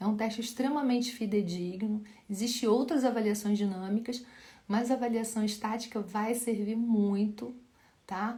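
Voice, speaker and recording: Somewhat breathy and dark, mellow in tone, a woman's fairly high voice moves at a moderate pace with fairly even intonation while audible room echo surrounds it. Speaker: physiotherapist teaching live. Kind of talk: live Q&A lecture.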